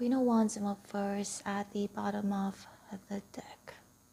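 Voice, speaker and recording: Soft-spoken and somewhat breathy, a woman speaks at a very slow pace in a dark, mellow tone with fairly even intonation. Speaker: tarot reader. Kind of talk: tarot reading.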